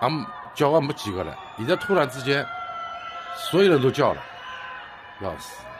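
Over music in the background, a man with a Shanghainese accent and a fairly high pitch talks at a moderate pace, with very wide pitch swings, big swings in loudness and long, frequent pauses. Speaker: resident filming. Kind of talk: amateur phone video narration. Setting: outdoors, high-rise apartment. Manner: agitated, alarmed. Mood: alarmed, exasperated. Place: home room. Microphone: phone near.

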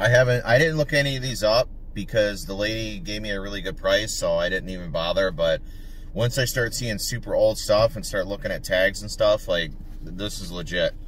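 Speech at a fairly quick pace sounds dry with no echo, with light background noise. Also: man. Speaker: reseller vlogger. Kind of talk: casual vlog chat. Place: car. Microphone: phone near.

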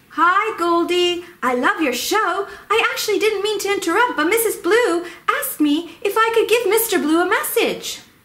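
This is a put-on character voice that sounds female. The pitch is extremely high. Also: moderate pace.

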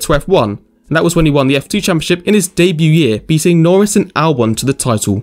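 A man with an English accent talks very fast in a high voice. His pitch swings very widely. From England. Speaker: motorsport YouTuber. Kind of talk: scripted narration.

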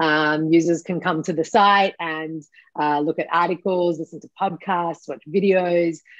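A woman with an Australian accent speaks in a fairly low pitch with fairly even intonation, the sound dry with no echo and the background quiet. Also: fairly slow pace. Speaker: cannabis education company founder. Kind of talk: interview. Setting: video call. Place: home room.

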